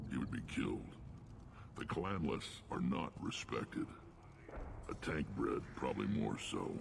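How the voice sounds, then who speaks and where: A man in a put-on character voice at a moderate pace, with clear background noise. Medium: video game. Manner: gruff, blunt.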